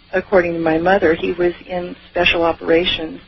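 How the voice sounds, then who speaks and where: Noticeable background noise runs under the voice. The delivery is flat and monotone. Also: woman. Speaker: UFO experiencer. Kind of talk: interview. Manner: halting.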